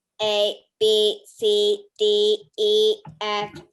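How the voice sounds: Put-on, robotic character voice, female-sounding, medium in pitch for a woman, at a very slow pace.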